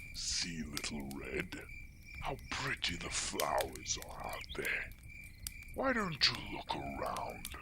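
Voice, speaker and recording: A man whispering in a put-on character voice at a very slow pace, under loud background noise. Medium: read story. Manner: sly, wheedling.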